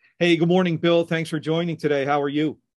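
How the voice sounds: A man speaks at a fast pace and a fairly high pitch. His pitch moves very little.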